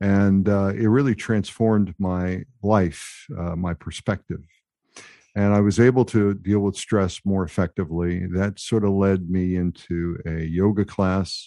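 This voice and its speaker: A man's fairly low voice at a fairly slow pace, with fairly even intonation and a quiet background. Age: 60s. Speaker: mindfulness coach and veteran. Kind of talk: interview conversation. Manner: hesitant, filler words.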